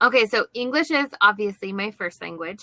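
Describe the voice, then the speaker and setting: This woman has a plain, everyday voice at medium pitch, with ordinary pitch variation and an American accent. The sound is dry and close, with no echo. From United States. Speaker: online English tutor. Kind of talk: casual chat.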